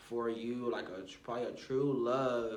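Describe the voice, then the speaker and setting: A man speaks at a moderate pace while noticeable background noise and audible room echo fill the recording. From Arkansas. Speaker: vlogger and music artist. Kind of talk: casual monologue vlog.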